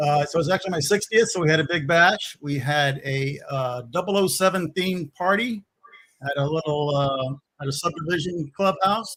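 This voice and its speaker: In an American accent, a man speaks at a moderate pace with a fairly high pitch and ordinary pitch variation. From Louisiana, Baton Rouge. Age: 60s. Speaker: DIY builder, former contractor. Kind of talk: live stream chat.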